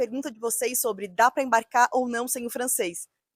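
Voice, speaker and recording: Recorded with a dry, close sound and no echo, a woman talks in a high voice with ordinary pitch variation. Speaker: youtuber, working-holiday visa mentor. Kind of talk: video tutorial / advice vlog. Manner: conversational, direct to camera.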